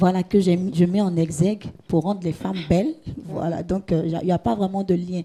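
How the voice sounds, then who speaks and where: Amid noticeable background noise, a woman speaks at a fairly quick pace with fairly even intonation. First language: Gouro (speaking French). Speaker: gospel singer and hairdresser. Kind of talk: interview. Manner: halting, repeats words.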